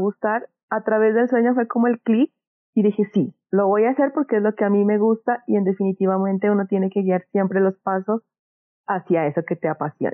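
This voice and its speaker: Fairly quick and fairly high in pitch, a woman talks in an unremarkable speaking voice. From Colombia, Pasto (Nariño). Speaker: small business owner, art supplies shop. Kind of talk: interview.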